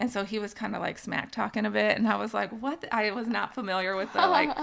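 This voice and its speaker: A woman with an American accent talks very fast in a fairly high voice, her pitch moving in an ordinary way. Noticeable background noise runs under her speech. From Canada. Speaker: nurse, mother of co-host. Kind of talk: podcast interview. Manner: casual, filler-heavy.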